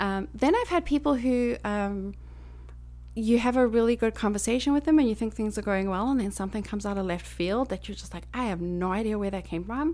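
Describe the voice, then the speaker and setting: A woman with a Southern African accent at a fairly quick pace. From Botswana and South Africa. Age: 40s. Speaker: environmental educator and Reiki practitioner. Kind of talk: casual chat.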